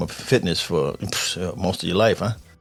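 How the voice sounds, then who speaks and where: Noticeable background noise runs beneath a man talking with an American accent. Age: 50s. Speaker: podcast host, military veteran. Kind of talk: casual interview chat.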